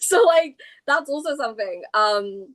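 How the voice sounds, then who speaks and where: The woman keeps a moderate speed, her pitch shifting in a typical way. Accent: British. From England. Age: 30s. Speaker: comic book creator. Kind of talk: casual interview chat.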